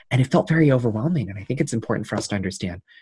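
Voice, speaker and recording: A man speaks with an American accent and lively intonation. His voice is somewhat breathy. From Queens, New York. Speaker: youth delegate and graduate student. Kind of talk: interview. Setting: remote call.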